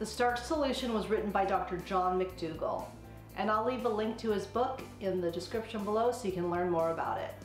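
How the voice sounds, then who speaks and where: A woman talks at a fairly quick pace with ordinary pitch variation. Faint music plays behind her, and the room echo is audible. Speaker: cooking vlogger. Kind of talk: casual vlog chat. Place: kitchen. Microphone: camera far.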